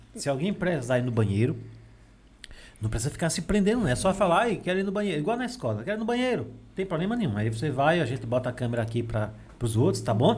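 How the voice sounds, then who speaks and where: Very fast and animated, a man speaks at a fairly high pitch with very wide pitch swings. Vocal fry runs through his voice. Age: 20s. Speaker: podcast host. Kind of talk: casual chat with children.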